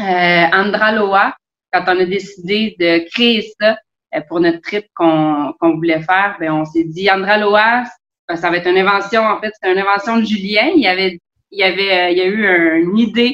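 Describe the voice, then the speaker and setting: Medium pitch for a woman, in a Quebec accent, with ordinary pitch variation and a moderate pace. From Quebec, South Shore of Montreal. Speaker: sailor and travel blogger. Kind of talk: casual interview.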